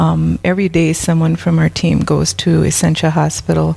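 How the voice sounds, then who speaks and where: Noticeable background noise sits behind a woman talking with an Upper Midwest accent. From South Dakota. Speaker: prison ministry volunteer.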